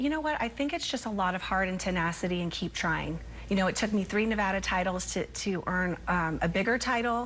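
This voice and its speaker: A woman with an American accent talks fairly quickly with hardly any pauses, her medium-pitched voice showing vocal fry and lively intonation. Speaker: pageant queen. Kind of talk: TV interview. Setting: TV studio. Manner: animated.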